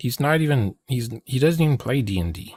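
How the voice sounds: A man talks at a fairly quick pace and a medium pitch. His tone is slightly mellow, with lively intonation.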